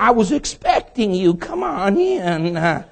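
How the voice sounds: In a put-on character voice, the speaker sounds squeaky and creaky, fairly high in pitch, with very wide pitch swings at a fairly slow pace.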